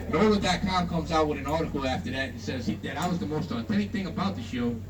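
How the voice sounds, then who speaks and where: Speech rushes by at a very fast pace with very wide pitch swings. Noticeable background noise and audible room echo fill the recording. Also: man, fairly high pitch for a man. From Louisiana. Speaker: swamp tour guide. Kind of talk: guided tour narration. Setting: outdoors on a tour boat. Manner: casual, folksy.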